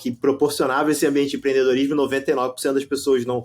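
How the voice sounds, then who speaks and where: A man speaks in a Rio de Janeiro accent. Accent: carioca accent, noticeable. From Rio de Janeiro, Brazil. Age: 40s. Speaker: company founder and CEO. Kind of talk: podcast interview. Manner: halting, many repetitions and false starts.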